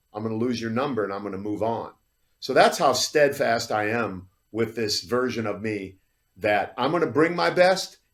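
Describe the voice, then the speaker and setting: With a normal speaking voice, a man talks at a moderate pace. His medium pitch rises and falls with lively intonation. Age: 60s. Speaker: fitness model and podcast host. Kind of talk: podcast interview.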